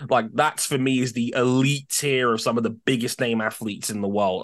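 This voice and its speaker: A man with an unremarkable speaking voice talks at a moderate pace and medium pitch. The background is quiet. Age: 30s. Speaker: F1 podcast host. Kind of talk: casual chat.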